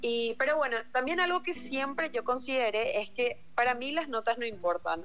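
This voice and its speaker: A woman speaks in a plain, everyday voice with lively intonation. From Paraguay, Luque. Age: 18. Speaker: university applicant sharing experience. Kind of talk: casual chat.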